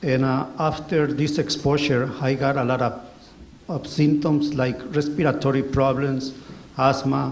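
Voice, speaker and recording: A man with a Spanish accent speaks at a fairly high pitch and a fairly slow pace. His intonation is monotone and flat, and audible room echo surrounds him. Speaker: former highway pesticide sprayer. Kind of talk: testimony. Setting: community hall with audience. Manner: reading from notes.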